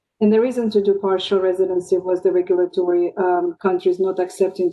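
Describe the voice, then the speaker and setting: Her dark, mellow tone holds a medium pitch as the woman speaks at a fairly quick pace with monotone, flat intonation. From Russia. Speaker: pediatrics professor. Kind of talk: panel discussion.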